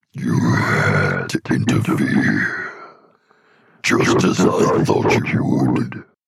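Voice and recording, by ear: Very slowly, a man speaks in a put-on character voice.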